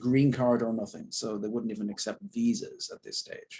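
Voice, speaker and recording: A man with an Irish accent at a moderate pace. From Southern Ireland. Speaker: actor. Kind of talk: interview.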